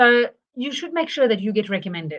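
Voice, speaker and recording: The speaker is a woman. She has a South African accent. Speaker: marketing consultant. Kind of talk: live webinar presentation. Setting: livestream. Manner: halting, many fillers.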